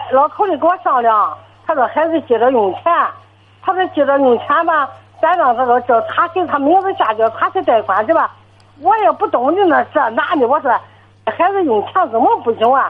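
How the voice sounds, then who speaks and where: A woman's voice sits high in pitch, with lively intonation. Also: moderate pace. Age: 70s. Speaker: elderly caller, retiree. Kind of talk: phone-in call. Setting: phone call. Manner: fluent and brisk. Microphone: poor phone line.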